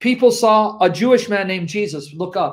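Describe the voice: The recording is plain reading aloud, its pitch varying in an ordinary way.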